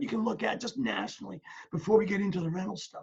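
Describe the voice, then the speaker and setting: This man has a dark, mellow tone and a high pitch. He speaks at a fairly quick pace. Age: 60s. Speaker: property management company owner. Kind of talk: webinar presentation.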